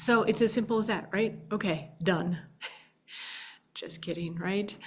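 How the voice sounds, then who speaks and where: Her pace is fairly slow. This woman talks at a medium pitch with ordinary pitch variation. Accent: Minnesotan. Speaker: podcast host. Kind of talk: casual advice monologue.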